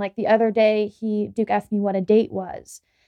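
This woman has an ordinary speaking voice with fairly high pitch. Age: 20s. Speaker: podcast co-host and young mother. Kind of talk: casual chat.

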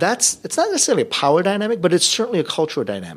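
Talking at a very fast pace, a man lets his voice swing very widely in pitch, with vocal fry throughout. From US, Korean immigrant family. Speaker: seminary professor and pastor. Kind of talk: podcast interview. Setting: hotel conference room.

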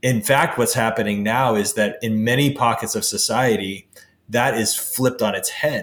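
The man has an ordinary speaking voice at a medium pitch. He keeps a moderate pace with ordinary pitch variation. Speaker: podcast host. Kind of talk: interview conversation. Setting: call.

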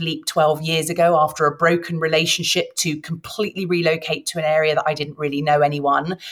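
A woman talks fairly quickly with a British accent. Her pitch is fairly low. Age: 40s. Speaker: midlife transformation mentor. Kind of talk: interview.

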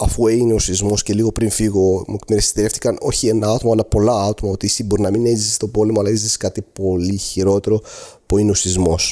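Speaking at a very fast pace, a man with an Arabic accent keeps a monotone, flat intonation. His fairly low voice has a dark, mellow tone. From Syria, Aleppo. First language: Arabic (speaking Greek). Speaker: earthquake eyewitness. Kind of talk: testimony. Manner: halting.

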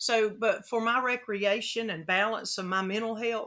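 A woman with a Southern US accent and fairly even intonation. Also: very clean recording, silent background. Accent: Southern American. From US South, Florida Gulf Coast. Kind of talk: interview.

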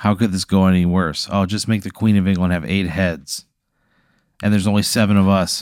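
Speech comes at a fairly quick pace with fairly even intonation, on a very clean recording with a silent background. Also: man, very deep, low pitch for a man. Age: 30s. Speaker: comedy podcast co-host. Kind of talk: casual chat.

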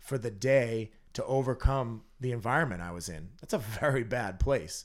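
A man with an American accent speaks in an unremarkable speaking voice at medium pitch with ordinary pitch variation, in a very clean recording with a silent background. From Massachusetts, North Andover. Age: 30s. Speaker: recovering addict, business owner. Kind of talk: interview, personal testimony.

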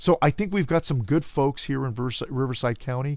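Ordinary pitch variation and a fairly quick pace mark a man with an American accent and a plain, everyday voice. The recording is very clean with a silent background. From Los Angeles, California (Cudahy). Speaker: political candidate. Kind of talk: interview. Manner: formal.

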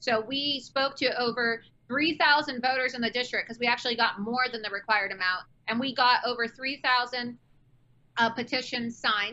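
A woman with an American accent speaks at a high pitch. Her pace is moderate and her intonation fairly even. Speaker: political candidate and activist. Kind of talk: interview on talk show. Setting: remote call from Florida.

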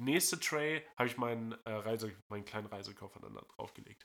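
A man's bright, sharp voice with lively intonation at a moderate pace, on a very clean recording with a silent background. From northern Germany. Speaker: podcast host. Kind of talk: casual chat. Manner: halting.

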